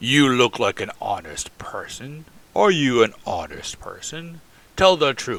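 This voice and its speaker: A man's put-on character voice, fairly high in pitch, with big swings in loudness. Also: fairly slow pace. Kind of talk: old-fashioned formal speech. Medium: read story. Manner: forceful, demanding.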